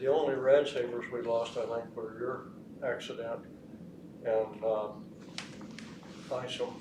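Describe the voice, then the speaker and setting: In a room with audible echo and noticeable background noise, a man talks at a fairly slow pace with long, frequent pauses. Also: medium pitch for a man, fairly even intonation. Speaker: retired radiation safety monitor. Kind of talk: oral history panel interview.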